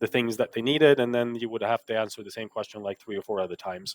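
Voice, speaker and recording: At a very fast pace, a man talks with a medium pitch. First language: not English. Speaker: software engineer and author. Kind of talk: interview. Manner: many fillers and restarts.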